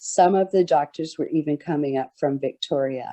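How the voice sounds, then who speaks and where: In an ordinary speaking voice, fairly low for a woman, she talks fairly slowly with fairly even intonation, the sound dry and close with no echo. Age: 60s. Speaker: peer participant sharing lived experience. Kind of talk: testimony.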